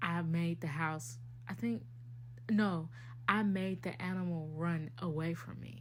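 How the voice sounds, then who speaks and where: A woman with a very deep, low voice and vocal fry speaks amid audible room echo. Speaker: podcast host. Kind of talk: casual chat. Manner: deliberately enunciating.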